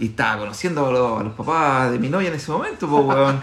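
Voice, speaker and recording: A moderate pace from a man with a fairly high pitch. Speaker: podcast co-host. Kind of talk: casual chat. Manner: animated.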